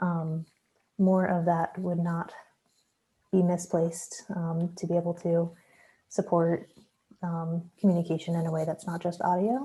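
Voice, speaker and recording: Soft-spoken and somewhat breathy, a woman talks fairly slowly in a fairly low, dark, mellow voice with monotone, flat intonation and long, frequent pauses. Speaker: workshop participant. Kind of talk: group presentation.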